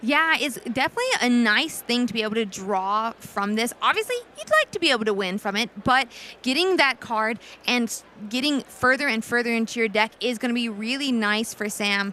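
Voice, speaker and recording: The voice is loud, with a bright, sharp tone. It moves at a fairly quick pace with ordinary pitch variation. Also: woman, fairly high pitch for a woman. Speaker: esports caster. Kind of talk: live commentary. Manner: naturally loud.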